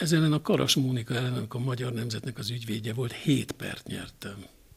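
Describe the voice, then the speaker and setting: A man's medium-pitched voice, fairly slow, with ordinary pitch variation. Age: 60s. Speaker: television journalist. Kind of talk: interview. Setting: at guest's home.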